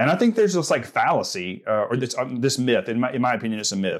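A man's medium-pitched voice with a Southern US accent and lively intonation, in a very clean recording over a silent background. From US South. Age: 40s. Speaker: mental health advocate. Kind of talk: casual interview. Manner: animated.

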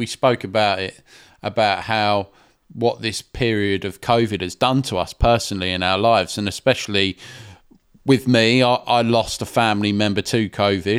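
Very cleanly recorded against a silent background, a man with an English accent speaks at a moderate pace, fairly low in pitch with fairly even intonation. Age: 40s. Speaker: podcast host. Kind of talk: casual chat. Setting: studio.

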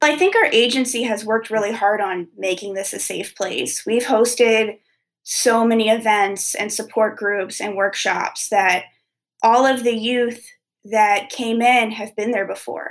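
In a very clean recording with a silent background, a woman with an American accent and a plain, everyday voice talks at a fairly high pitch and a fairly slow pace. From US Mid-Atlantic, Wilmington, Delaware. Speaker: peer recovery specialist. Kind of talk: interview.

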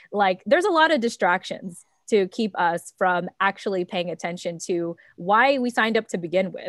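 Recorded very cleanly against a silent background, a normal speaking voice moves at a moderate pace with lively intonation and a dry, close sound with no echo. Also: woman, medium pitch for a woman. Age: 30s. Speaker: entrepreneur and podcaster, military spouse. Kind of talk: casual chat.

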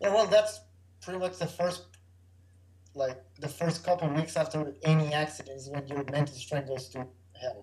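The speech is somewhat breathy, with ordinary pitch variation and long, frequent pauses. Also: man, fairly high pitch for a man, moderate pace. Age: 30s. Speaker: freestyle motocross rider. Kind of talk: casual chat.

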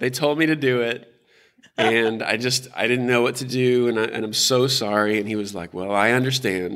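With a Texan accent, a man speaks at medium pitch and a moderate pace, his intonation fairly even. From Texas, South Houston. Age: 40s. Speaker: nonprofit leader. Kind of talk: casual interview.

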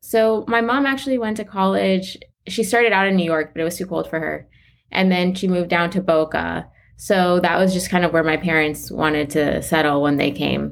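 With a South Florida accent, a woman speaks at a fairly quick pace and a fairly low pitch. Her pitch varies in an ordinary way on a very clean recording with a silent background. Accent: American, South Florida. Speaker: integrative medicine doctor. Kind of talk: interview.

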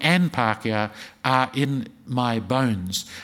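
A man talks with a New Zealand accent. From New Zealand, Wellington region. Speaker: historian and author. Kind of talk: festival talk and audience Q&A. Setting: stage with audience.

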